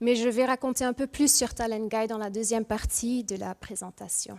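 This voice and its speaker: The speaker has a Mauritian accent and fairly even intonation. The sound is dry and close, with no echo. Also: woman. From Mauritius, moved to Ghent, Belgium at 3-4. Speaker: industrial psychologist, speaker. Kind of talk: conference talk. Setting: stage with audience. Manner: hesitant, with fillers.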